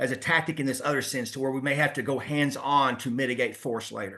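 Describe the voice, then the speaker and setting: Against a quiet background, the speaker talks very fast in a bright, sharp tone. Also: man. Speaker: police trainer. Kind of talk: webinar lecture. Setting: online webinar.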